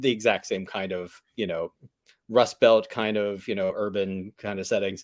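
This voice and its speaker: On a very clean recording with a silent background, a man with an American accent uses a normal speaking voice, fairly low in pitch, at a moderate pace. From Pittsburgh, Pennsylvania. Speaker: vegan food business owner and podcaster. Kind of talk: casual chat.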